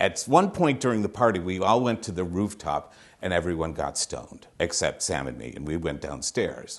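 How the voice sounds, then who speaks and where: A man with an American accent talks at a moderate pace, his very deep, low voice full of vocal fry. His pitch swings very widely. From Massachusetts, Holyoke. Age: 60s. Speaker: storyteller. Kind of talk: personal storytelling.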